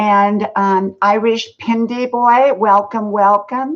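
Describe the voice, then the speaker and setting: A woman with an American accent speaks at a fairly high pitch with fairly even intonation. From US South. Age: 60s. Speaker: live streamer. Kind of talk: casual live stream chat. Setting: live stream. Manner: casual, filler-heavy.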